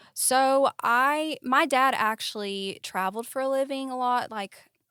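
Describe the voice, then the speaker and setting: A raised, projected voice with a Tennessee accent comes through in a bright, sharp tone at a fairly slow pace. Pitch variation is ordinary, and the recording is very clean, dry and close, with no echo and a silent background. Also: woman, high pitch for a woman. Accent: Southern US (Tennessee). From US South, East Tennessee. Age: 20s. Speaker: model and student. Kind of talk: casual interview chat.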